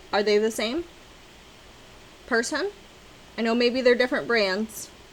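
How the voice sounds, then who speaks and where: Over noticeable background noise, a woman speaks in an animated tone at a moderate pace, with a fairly high pitch and ordinary pitch variation. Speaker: cross-stitch vlogger. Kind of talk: casual chat.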